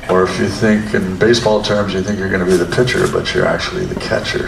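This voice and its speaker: A man at a fairly low pitch and fairly quick pace, with fairly even intonation, amid noticeable background noise and audible room echo. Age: 80s+. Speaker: drummer. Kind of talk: interview.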